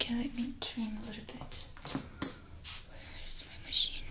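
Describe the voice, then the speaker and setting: Whispering at a moderate pace, a woman speaks in a gentle tone with big swings in loudness. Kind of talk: roleplay chat to viewer, ASMR-like. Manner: soft-spoken, gentle ASMR voice. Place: home room.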